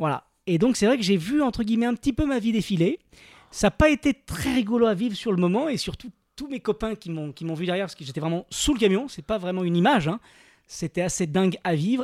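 In a very clean recording with a silent background and a dry, close sound with no echo, a man talks at a very fast pace with lively intonation. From France. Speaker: TV adventurer and documentary presenter. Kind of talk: casual chat.

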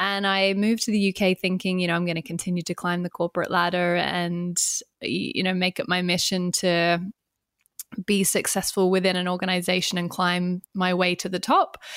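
Speaking at a moderate pace in a monotone, flat intonation, a woman with an Australian accent and medium pitch is heard in a very clean recording with a silent background. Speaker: entrepreneur and business coach. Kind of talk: interview.

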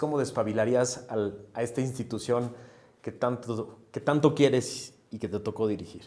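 This man's voice sits at a medium pitch with a dark, mellow tone. He keeps a moderate pace and fairly even intonation. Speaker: podcast host, interviewer. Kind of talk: interview.

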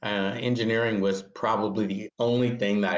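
Talking at a moderate speed, a man speaks with an American accent. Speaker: physician and biotech executive. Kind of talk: interview. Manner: halting, many fillers.

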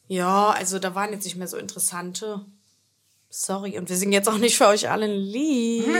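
A woman speaks at a fairly quick pace, with big swings in loudness. Room echo is audible. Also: medium pitch for a woman. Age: 20s. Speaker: podcast host and influencer. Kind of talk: casual chat. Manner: animated.

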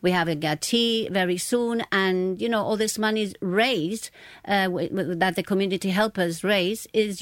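An ordinary speaking voice from a woman, medium in pitch, with ordinary pitch variation, a moderate pace, very even loudness and hardly any pauses, on a very clean recording with a silent background. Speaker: charity volunteer. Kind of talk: radio interview.

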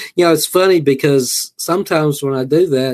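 A man with a Southern US accent talks at a moderate pace with ordinary pitch variation. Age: 60s. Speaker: horror author. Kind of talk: interview.

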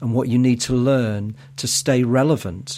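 With a Mancunian accent, a man talks at a moderate pace, his medium pitch showing ordinary variation. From Manchester, northern England. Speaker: podcast host. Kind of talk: podcast interview.

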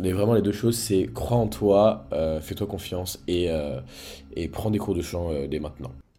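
Very deep and low in pitch, a man speaks at a fairly slow pace with lively intonation and a somewhat breathy sound. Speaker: independent pop singer. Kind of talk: casual interview.

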